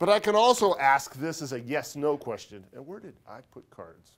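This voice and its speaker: His intonation lively, a man is speaking. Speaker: accounting professor. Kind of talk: lecture. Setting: classroom. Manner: fast.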